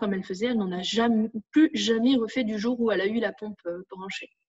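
A plain, everyday voice from a woman, fairly high in pitch, with fairly even intonation. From northern France. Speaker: parent of a diabetic child. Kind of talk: testimony.

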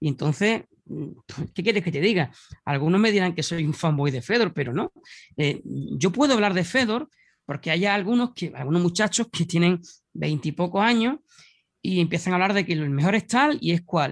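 With an Andalusian accent, a man speaks at a moderate pace and a high pitch, his lively intonation broken by long, frequent pauses. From Andalusia, Spain (Huelva). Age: 40s. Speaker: mixed martial arts commentator and author. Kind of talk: casual interview.

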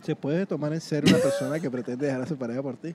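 A fairly high-pitched male voice, dark and mellow in tone, with ordinary pitch variation. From Venezuela, Mérida. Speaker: podcast host. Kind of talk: casual chat. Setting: food park.

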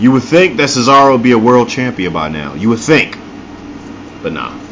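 The man's voice is medium in pitch and animated in tone. He speaks at a moderate pace over noticeable background noise. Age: 20s. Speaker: podcast host and DJ. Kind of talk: casual chat.

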